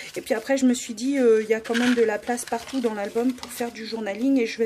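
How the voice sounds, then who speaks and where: A woman talks at a fairly quick pace in a fairly high pitch. Her intonation is flat and monotone. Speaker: scrapbooking YouTuber. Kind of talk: crafting tutorial. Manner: hesitant, many fillers.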